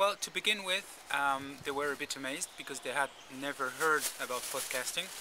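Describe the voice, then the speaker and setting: Noticeable background noise sits behind a man who speaks at a fairly quick pace and fairly high pitch with ordinary pitch variation. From French-speaking Switzerland, from age eight; born in Uruguay. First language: Spanish. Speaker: podcast producer. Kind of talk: interview. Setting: convention. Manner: halting, many fillers and repeats.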